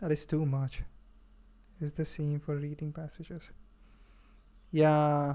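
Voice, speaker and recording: A man's dark, mellow, fairly high-pitched voice with a non-native accent, monotone, flat intonation and long, frequent pauses. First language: not English. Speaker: streamer learning coding and Japanese. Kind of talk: casual livestream chat. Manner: halting, many fillers.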